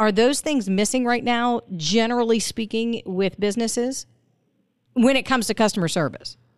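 In a very clean recording with a silent background, a woman with a normal speaking voice talks at a moderate pace, her fairly high pitch showing ordinary variation. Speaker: radio host. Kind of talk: radio interview. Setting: studio.

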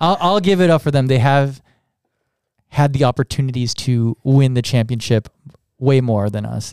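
A man with a medium pitch and ordinary pitch variation talks at a moderate pace with long, frequent pauses, recorded with a dry, close sound and no echo. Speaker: coach and podcast guest. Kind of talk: casual podcast chat.

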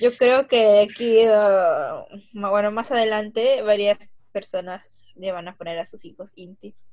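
A woman talks at a very slow pace, with big swings in loudness. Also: fairly high pitch for a woman, ordinary pitch variation. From Peru. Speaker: podcast co-host. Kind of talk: casual chat.

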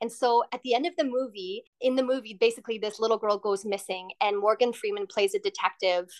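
A woman's fairly high voice in a western Canadian accent, at a fairly quick pace with hardly any pauses, ordinary pitch variation and a dry, close sound with no echo. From western Canada. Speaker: hotel customer service worker and former actress. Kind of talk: interview.

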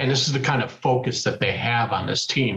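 Speaking at a fairly quick pace, this is a normal speaking voice. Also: man. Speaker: sports podcast co-host. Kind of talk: casual chat.

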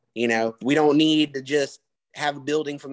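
Speaking fairly quickly with a Southern US accent, a man sounds dry and close with no echo over a quiet background. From US South. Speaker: podcast co-host. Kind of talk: casual chat.

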